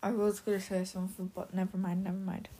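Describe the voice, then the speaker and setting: A woman speaks at a medium pitch with a dark, mellow tone. Her voice is somewhat breathy and her intonation fairly even. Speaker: gaming podcaster. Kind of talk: casual monologue. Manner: halting.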